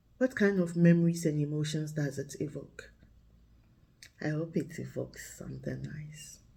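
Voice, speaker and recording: A woman with a Ghanaian accent speaks at a fairly slow pace. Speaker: vlogger and storyteller. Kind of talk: casual reflective talk to camera. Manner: relaxed, thoughtful.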